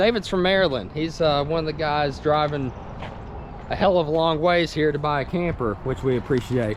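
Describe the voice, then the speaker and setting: Over noticeable background noise, the speaker talks at a moderate pace in a Tennessee accent. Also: man, ordinary pitch variation. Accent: US Southern (Tennessee). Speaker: RV salesman and video walkthrough host. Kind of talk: product walkthrough tutorial. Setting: outdoors at a dealership lot. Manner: casual, conversational.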